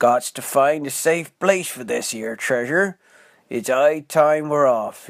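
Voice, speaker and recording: A man puts on a character voice, pitched fairly high, and delivers it fairly slowly. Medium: read story. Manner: loud, yelling.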